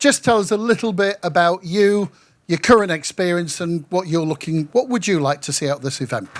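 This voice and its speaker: At a fairly quick pace, a man with a northern English accent speaks in a high pitch, captured in a very clean recording with a silent background. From northwest England, Manchester. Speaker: local councillor, panel chair. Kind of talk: panel discussion moderation. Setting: pavilion at event with audience.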